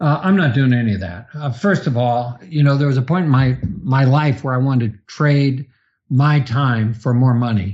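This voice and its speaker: The pitch moves in an ordinary way at a moderate pace. The voice is somewhat breathy. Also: man, medium pitch for a man. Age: 60s. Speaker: real estate investor. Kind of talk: podcast interview. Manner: halting with repetitions.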